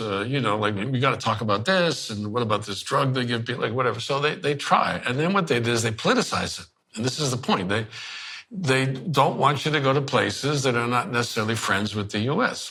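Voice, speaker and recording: Audible room echo accompanies a man's voice. He talks at a medium pitch and fairly quick pace, with ordinary pitch variation. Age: 70s. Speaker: journalist. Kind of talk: casual chat. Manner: fast; animated.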